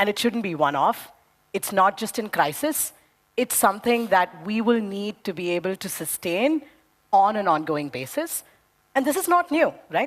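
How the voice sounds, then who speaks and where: A loud woman's voice at a medium pitch, animated in tone with very wide pitch swings, at a moderate pace. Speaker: debate panelist. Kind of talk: debate speech.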